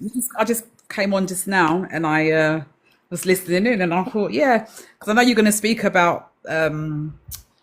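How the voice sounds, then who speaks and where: Speaking with an English accent, a woman uses a medium pitch, ordinary pitch variation and a moderate pace. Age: 60s. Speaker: live-stream participant sharing menopause experience. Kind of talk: personal testimony. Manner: halting.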